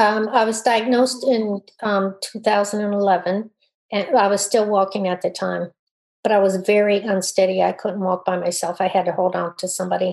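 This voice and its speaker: Speaking at a moderate pace, a woman uses a plain, everyday voice at a medium pitch with fairly even intonation. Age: 60s. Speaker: army veteran and para fencer. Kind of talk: interview.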